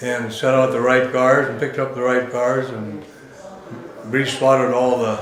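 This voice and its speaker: In an American accent, a man speaks at medium pitch and a moderate pace with monotone, flat intonation, amid audible room echo and noticeable background noise. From Washington state, US. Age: 80s+. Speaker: retired railroad conductor. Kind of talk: oral history interview. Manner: halting.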